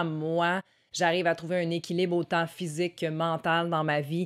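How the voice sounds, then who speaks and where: A woman with a fairly low pitch and a Quebec accent. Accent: Québécois French. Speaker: wellness vlogger, former fitness trainer. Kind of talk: casual talk to camera.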